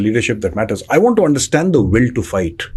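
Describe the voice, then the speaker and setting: Over noticeable background noise, a man talks at a very fast pace and medium pitch with very wide pitch swings. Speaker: podcast host. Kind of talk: interview. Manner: formal.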